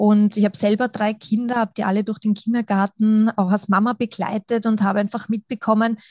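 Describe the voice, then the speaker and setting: Somewhat breathy and fairly high, a woman's voice moves at a moderate pace with fairly even intonation in a dry, close sound with no echo. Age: 30s. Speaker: kindergarten teacher and coach. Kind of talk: interview.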